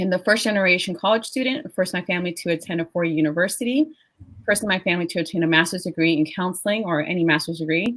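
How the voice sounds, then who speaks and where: A woman talks at a very fast clip. Her pitch rises and falls in an ordinary way. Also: medium pitch for a woman. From Panama, raised in US from age seven. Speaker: diversity and inclusion leader. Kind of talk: webinar panel discussion.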